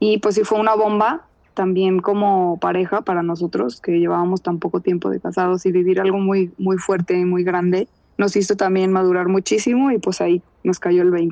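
A woman speaks at a medium pitch and a moderate pace with fairly even intonation and very even loudness. She has a plain, everyday voice. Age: 30s. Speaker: contributor sharing personal story. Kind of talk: personal testimony.

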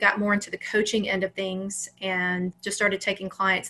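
A woman speaks at a medium pitch with an American accent. Her tone is bright and sharp. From US South, Alabama. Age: 40s. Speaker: mindset coach. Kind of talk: interview.

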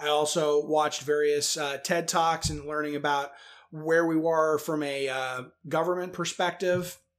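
A man with an American accent, fairly high in pitch, in a monotone, flat delivery at a fairly slow pace, with music in the background. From US, northern Virginia. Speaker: podcast host and nuclear energy advocate. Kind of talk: interview. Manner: many fillers, hesitant.

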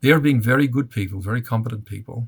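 A man with an Australian accent, medium pitch, a somewhat breathy sound, and a fairly quick pace on a very clean recording with a silent background. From Australia (Melbourne). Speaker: father of terror victim, advocate. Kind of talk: interview.

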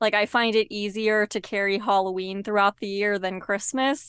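At a moderate pace and medium pitch, a woman talks with monotone, flat intonation in a dry, close sound with no echo and a quiet background. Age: 30s. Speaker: podcast host. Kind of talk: casual interview.

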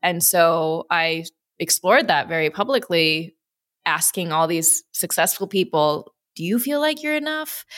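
Speaking with an American accent, a woman has a fairly low pitch and lively intonation. Her pace is fairly slow, and the recording is very clean with a silent background. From US Midwest, Wisconsin and Chicago. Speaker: entrepreneur, investor and former gymnast. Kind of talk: interview conversation.

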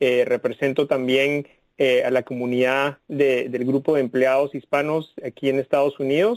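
Dry and close with no echo, a man's fairly high-pitched ordinary speaking voice moves at a fairly slow pace with fairly even intonation. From Guatemala (Guatemala City). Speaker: tech company executive. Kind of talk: interview.

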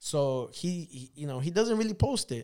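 A man speaks at a moderate pace with lively intonation in a plain, everyday voice. The recording is very clean, with a silent background. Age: 30s. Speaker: motorcycle vlogger. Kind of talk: casual chat.

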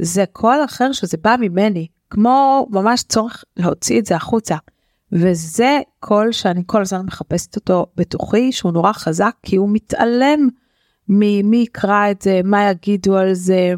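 A woman with an ordinary speaking voice, medium pitch and ordinary pitch variation, at a fairly slow pace and very even loudness, in a dry, close sound with no echo. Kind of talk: casual chat.

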